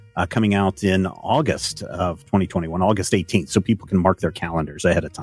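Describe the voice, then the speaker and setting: With music in the background, a man with an American accent talks at a fairly quick pace with hardly any pauses, his very deep, low voice showing ordinary pitch variation in a dry, close sound with no echo. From US South. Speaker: comics and pop culture commentator. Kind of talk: casual chat.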